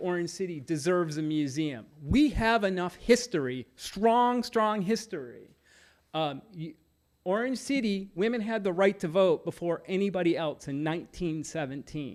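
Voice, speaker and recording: Lively intonation on a very clean recording with a silent background. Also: man. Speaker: citizen commenter on local history. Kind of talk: public comment at council meeting.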